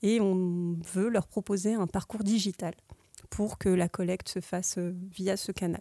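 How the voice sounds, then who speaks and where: A woman speaks at medium pitch and a fairly slow pace, with a dark, mellow tone and monotone, flat intonation. The sound is dry and close, with no echo. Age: 30s. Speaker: IT project manager. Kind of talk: podcast interview. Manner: hesitant, many filler sounds.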